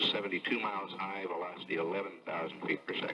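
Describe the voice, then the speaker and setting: Very fast and monotone, a man talks with flat intonation in a very deep, low pitch. There is noticeable background noise. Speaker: mission flight data announcer. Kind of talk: live mission commentary, reading flight data. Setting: old television broadcast recorded with a room microphone.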